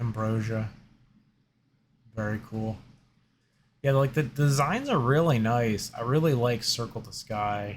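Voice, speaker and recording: On a very clean recording with a silent background, a somewhat breathy man at a medium pitch speaks at a fairly slow pace with ordinary pitch variation and long, frequent pauses. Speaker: gaming youtuber. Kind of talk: casual card opening commentary. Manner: hesitant, many fillers.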